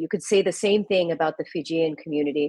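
A woman with an American accent and a fairly low pitch, ordinary pitch variation, in a dry, close sound with no echo. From US, Indian Gujarati family. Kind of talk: casual interview. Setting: video call.

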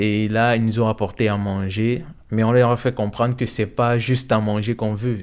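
Over a very clean recording with a silent background, a man speaks at a moderate pace and fairly low pitch with monotone, flat intonation. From Cameroon. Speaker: refugee student and singer-songwriter. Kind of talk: testimony. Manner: hesitant, many fillers.

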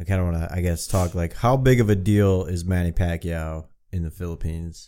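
Speaking at a fairly slow pace, a man is heard on a very clean recording with a silent background. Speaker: podcast host. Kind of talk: casual chat. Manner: profane, laid-back.

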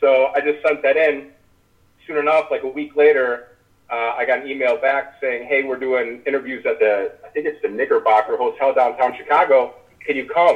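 In an ordinary speaking voice, a man with fairly high pitch keeps a moderate pace and fairly even intonation. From US Midwest, small-town Illinois. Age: 30s. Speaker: former reality TV contestant. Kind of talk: casual interview chat.

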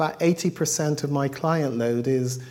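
A man speaks in a fairly high pitch with a dark, mellow tone. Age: 50s. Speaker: sex therapist and former solicitor. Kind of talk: talk. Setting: microphone, audience talk.

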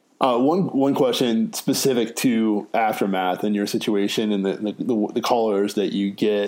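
An unremarkable speaking voice belongs to a man with an American accent. His medium pitch holds fairly even intonation, with hardly any pauses. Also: moderate pace. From North Carolina, Raleigh area. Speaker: podcast host. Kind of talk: casual interview.

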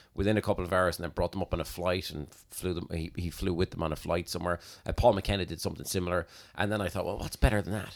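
A man with an Irish accent and a very deep, low voice at a very fast pace, on a very clean recording with a silent background. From Ireland. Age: 40s. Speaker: hypnotist. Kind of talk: casual chat.

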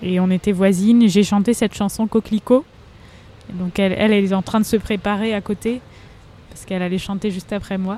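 A woman talks at a fairly quick clip with long, frequent pauses and big swings in loudness. Her medium-pitched voice has a dark, mellow tone and a flat, monotone delivery. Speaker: singer. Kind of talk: casual interview. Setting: outdoor café terrace.

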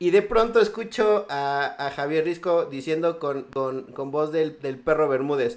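Speaking in a plain, everyday voice, a man with a fairly high pitch keeps a fairly slow pace and lively intonation, with hardly any pauses. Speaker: podcast host. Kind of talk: casual chat.

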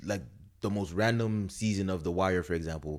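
Very clean recording, silent background, and a man's moderately paced voice with ordinary pitch variation. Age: 20s. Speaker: podcast host. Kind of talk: casual chat. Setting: studio.

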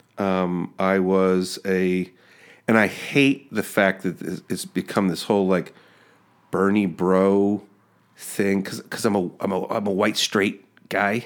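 In a very clean recording with a silent background, a man with a fairly low pitch speaks very slowly in a flat monotone. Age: 40s. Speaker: podcast host. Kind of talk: interview. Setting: studio.

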